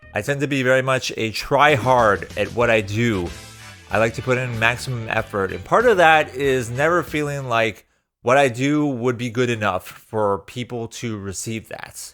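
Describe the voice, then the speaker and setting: A man at a medium pitch with lively intonation, music in the background. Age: 30s. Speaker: YouTuber. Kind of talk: unscripted personal reflection. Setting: speaking to a camera. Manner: casual, off the top of the head.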